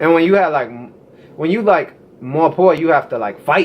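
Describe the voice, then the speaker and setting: This man talks at a fairly quick pace, his fairly high pitch carried by lively intonation. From US. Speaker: American interviewee on culture. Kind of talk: casual chat.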